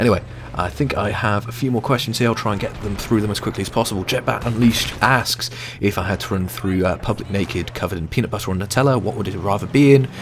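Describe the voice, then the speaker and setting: A British accent at a very fast pace, with ordinary pitch variation over noticeable background noise. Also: man, fairly low pitch for a man. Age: 20s. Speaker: gaming youtuber. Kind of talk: gameplay commentary answering viewer questions. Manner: frequent hesitations (uh, um).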